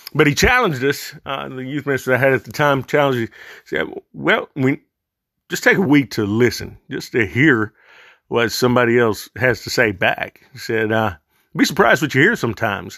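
Speaking at a fairly quick pace with a Southern US accent, a man uses a medium pitch, a bright, sharp tone and lively intonation. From US South. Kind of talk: monologue, religious podcast talk. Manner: halting, informal.

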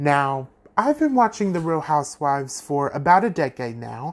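The recording is very clean and the background silent. An unremarkable speaking voice talks at a fairly slow pace. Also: man. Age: 20s. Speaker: podcast host. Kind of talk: casual solo monologue.

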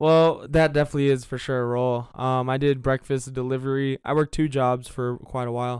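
The speaker has an American accent and moves at a fairly quick pace. The intonation stays monotone and flat. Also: man, medium pitch for a man. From South Florida. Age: 20s. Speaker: financial trader and trading educator. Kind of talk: casual chat.

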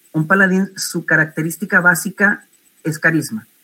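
An ordinary speaking voice from a man, with ordinary pitch variation at a fairly slow pace. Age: 30s. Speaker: civil servant, tabletop RPG player. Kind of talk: panel discussion.

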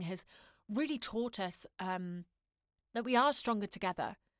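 A woman speaks in a normal speaking voice at moderate pace and medium pitch, with ordinary pitch variation. The recording is very clean, with a silent background and a dry, close sound with no echo. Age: 20s. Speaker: podcast host, voiceover artist and actor. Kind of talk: solo podcast monologue.

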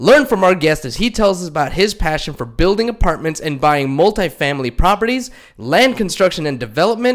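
A man with a high voice talks in an animated tone, his pitch swinging very widely. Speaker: podcast co-host, insurance agent. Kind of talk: podcast intro.

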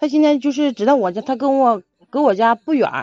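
Recorded with a dry, close sound and no echo, a woman speaks fairly quickly in a fairly high pitch with a dark, mellow tone. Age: 30s. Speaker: advice-seeking caller. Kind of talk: emotional advice call.

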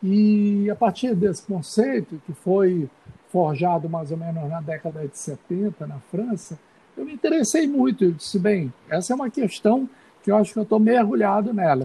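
At a moderate pace, a man with a high-pitched voice speaks with very wide pitch swings and big swings in loudness. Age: 50s. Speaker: visual artist and university professor. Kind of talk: casual interview.

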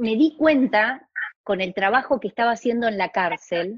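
Dry and close with no echo, a woman's somewhat breathy voice sits at a fairly high pitch with lively intonation. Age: 50s. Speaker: family constellations facilitator and school director. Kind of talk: casual chat.

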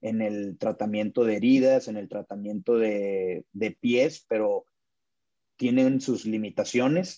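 A man speaks very slowly at a medium pitch. His tone is dark and mellow. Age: 30s. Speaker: podiatrist. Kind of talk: interview. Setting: doctor's office.

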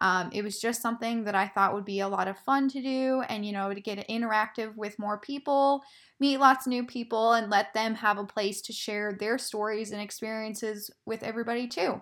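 A woman's fairly high voice, an unremarkable speaking voice, at a fairly quick pace with hardly any pauses and fairly even intonation. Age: 20s. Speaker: podcast host. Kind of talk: casual monologue.

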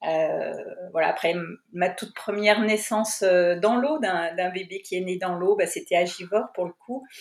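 A woman of medium pitch speaks fairly slowly, with ordinary pitch variation. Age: 50s. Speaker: midwife. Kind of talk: interview. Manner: halting.

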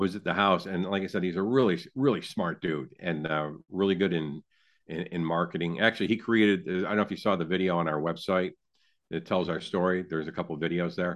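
A man with an American accent talks at a very fast pace. His pitch is very deep and low, with ordinary pitch variation. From upstate New York. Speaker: barbecue sauce business owner. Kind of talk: interview. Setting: remote call. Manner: halting, many fillers.

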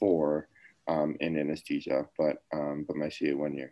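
His pitch sits very deep and low. The man talks at a moderate pace. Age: 30s. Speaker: anesthesia resident doctor. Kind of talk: casual interview.

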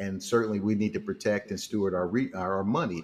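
A man with a plain, everyday voice talks at a fairly quick pace, his fairly low pitch showing ordinary pitch variation. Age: 50s. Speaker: financial mentor and speaker. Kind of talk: casual interview.

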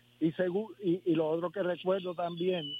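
Noticeable background noise is present. A man talks in a high pitch. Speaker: former basketball player. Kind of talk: phone interview. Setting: phone call.

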